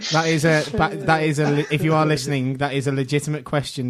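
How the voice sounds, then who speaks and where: Rattling along at a very fast pace, a man with a Scouse accent speaks at a fairly high pitch in a monotone, flat intonation against noticeable background noise. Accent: Scouse, considered posh locally. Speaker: podcast co-host. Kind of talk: casual chat.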